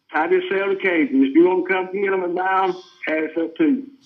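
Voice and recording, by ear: Audible room echo surrounds speech delivered at a fairly quick pace with fairly even intonation. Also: man.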